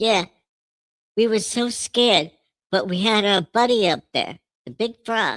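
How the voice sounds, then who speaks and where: In a put-on character voice, a female-sounding speaker at a medium pitch moves at a moderate pace, leaving long, frequent pauses. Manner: cartoonish animal voice.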